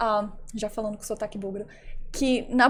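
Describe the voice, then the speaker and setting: A woman is speaking. Her pace is moderate. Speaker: violinist and entrepreneur. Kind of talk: interview conversation.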